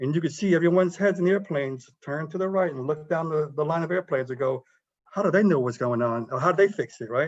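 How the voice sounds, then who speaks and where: Talking at a very fast pace, a man has an American accent. His pitch is fairly high, with ordinary variation. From South Carolina. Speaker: military pilot and engineer. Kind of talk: career talk to students. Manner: fast when excited; mumbles.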